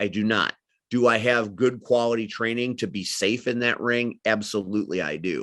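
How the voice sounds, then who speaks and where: In an American accent, a man speaks at a moderate pace with a fairly low pitch and ordinary pitch variation, over a quiet background. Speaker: wrestling commentator and manager. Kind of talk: interview. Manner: loud; animated.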